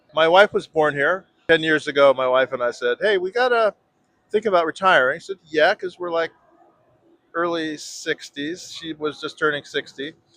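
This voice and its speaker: In a dry, close sound with no echo, a high-pitched man with an American accent speaks at a moderate pace with ordinary pitch variation. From Northern California. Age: 70s. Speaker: retired expat, cartoonist. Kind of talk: street interview.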